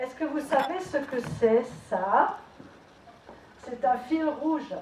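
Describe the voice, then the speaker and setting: With lively intonation, a woman speaks in an Alsatian accent, with audible room echo and noticeable background noise. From Alsace, France. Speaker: charity association president. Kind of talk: prepared tribute speech.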